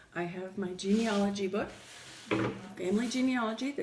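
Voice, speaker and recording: Lively intonation and an American accent come through over noticeable background noise. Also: woman. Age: 60s. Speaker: grandmother interviewee. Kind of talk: interview.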